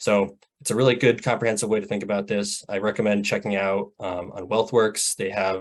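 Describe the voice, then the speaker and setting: At a fairly quick pace, a man talks with a fairly low pitch and monotone, flat intonation. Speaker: presenter on rural economic development. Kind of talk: webinar presentation. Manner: fast; frequent filler words.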